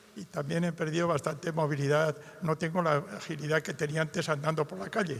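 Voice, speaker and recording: A man's fairly high voice at a fairly quick pace, against noticeable background noise. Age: 80s+. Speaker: audience member with Parkinson's. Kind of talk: question from audience.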